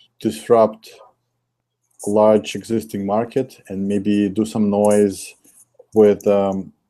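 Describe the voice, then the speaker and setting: A man's fairly low, dark, mellow voice with a Russian accent, at a fairly slow pace. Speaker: investor. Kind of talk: interview. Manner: hesitant with fillers.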